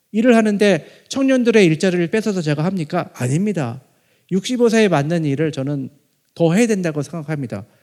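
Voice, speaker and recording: Over a silent background in a very clean recording, a man with a high pitch speaks at a fairly quick pace with lively intonation. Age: 50s. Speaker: professor. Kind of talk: lecture.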